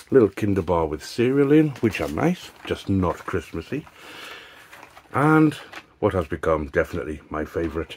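A man with a very deep, low pitch talks at a moderate pace with long, frequent pauses and very wide pitch swings, over light background noise. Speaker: YouTuber doing product reviews. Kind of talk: casual unboxing vlog. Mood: light-hearted, jokey. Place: home room. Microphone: phone near.

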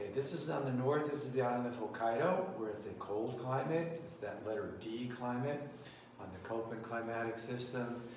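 A man speaks at a moderate pace with ordinary pitch variation, light background noise and audible room echo. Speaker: teacher. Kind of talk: lecture. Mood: casual, joking. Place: classroom. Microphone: camera far.

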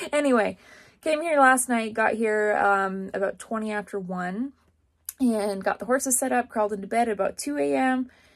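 A woman with lively intonation at a moderate pace against a quiet background. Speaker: rodeo barrel racer vlogger. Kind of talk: casual vlog chat. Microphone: phone near.

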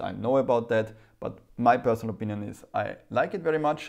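Against a quiet background, the voice shows ordinary pitch variation. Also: man. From Germany. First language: German. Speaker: private investor YouTuber. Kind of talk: casual vlog monologue. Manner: halting. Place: home room. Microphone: lapel.

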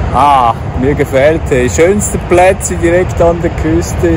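Speaking very slowly, a man with a fairly high voice and very wide pitch swings is heard in a dry recording with no echo and noticeable background noise. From Switzerland, Zurich; Switzerland. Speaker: travel vlogger. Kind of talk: travel vlog narration. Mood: cheerful. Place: open country. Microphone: phone near.

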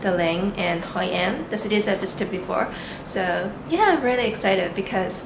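There is noticeable background noise as a woman talks at a fairly quick pace with ordinary pitch variation. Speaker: travel vlogger. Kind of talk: casual vlog chat. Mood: excited, cheerful. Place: home room. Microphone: phone near.

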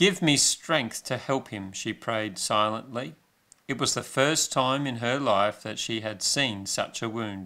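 A natural reading voice, with pitch that moves in an ordinary way

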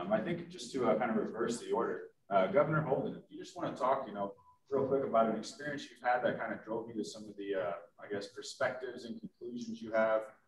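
Speaking very fast with lively intonation, a man is heard over light background noise and audible room echo. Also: medium pitch for a man. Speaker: business executive and moderator. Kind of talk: moderated panel discussion. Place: meeting room.

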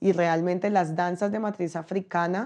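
Dark, mellow tone at a fairly slow pace, fairly even intonation, and a quiet background. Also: woman. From Colombian Pacific coast (Chocó). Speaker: rapper and body-work facilitator; body-work facilitator. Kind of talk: testimony; interview answer. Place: home room.

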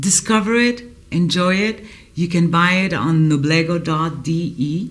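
Speaking at a very slow pace, a woman uses lively intonation at a fairly low pitch. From Honduras. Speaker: cigar producer. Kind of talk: promotional video address.

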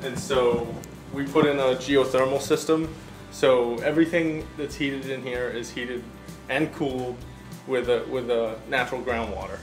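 Over clear background music, a man talks at a moderate pace with fairly even intonation. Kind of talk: casual tour explanation. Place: bar. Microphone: phone near.

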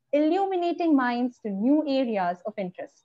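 A woman speaks at a moderate pace in a high pitch. The background is quiet. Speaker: event host. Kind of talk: scripted introduction. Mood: cheerful, smiling. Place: home room. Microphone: video call.

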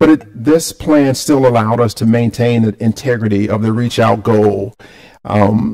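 A man's dark, mellow tone carries fairly even intonation at a moderate pace over a quiet background. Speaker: presenter. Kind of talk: presentation to a board. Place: hall.

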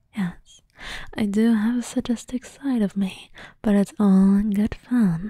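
Soft-spoken, playful whispering at a fairly slow pace, dry with no echo, over a quiet background. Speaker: voice actor playing a character. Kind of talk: intimate roleplay monologue to the listener. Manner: playful soft whisper.

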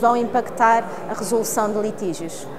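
High-pitched female voice at a moderate pace, fairly even in intonation, with light background noise. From Portugal. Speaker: lawyer, arbitration court official; lawyer. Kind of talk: interview statement. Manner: formal.

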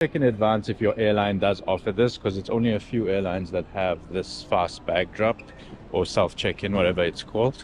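Over light background noise, a man with a normal speaking voice and a fairly low pitch shows ordinary pitch variation in a dry sound with no echo. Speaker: travel vlogger. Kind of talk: casual vlog chat. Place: station. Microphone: phone near.

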